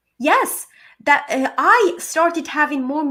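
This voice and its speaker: A woman with a Ukrainian accent speaks in an animated tone, her voice raised and projected, at a fairly slow pace. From Ukraine. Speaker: motivational speaker and coach. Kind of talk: podcast interview.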